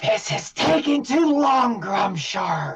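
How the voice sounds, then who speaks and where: A raspy, put-on character voice at a fairly high pitch, swinging very widely up and down. It moves at a very slow pace. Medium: actual play.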